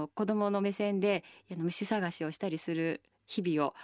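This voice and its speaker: The sound is dry and close with no echo, on a very clean recording with a silent background. The speech moves at a moderate pace. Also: woman. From Tokyo, Japan. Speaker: nonprofit chairperson and architecture writer. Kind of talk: radio interview. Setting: radio studio. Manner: hesitant with frequent fillers.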